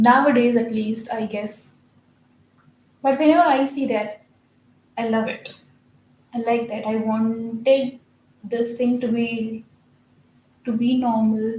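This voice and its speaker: Speaking very slowly with long, frequent pauses, a woman with a non-native accent keeps a fairly high pitch and monotone, flat intonation. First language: not English. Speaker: video editor vlogging while working. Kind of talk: casual monologue while working. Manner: halting.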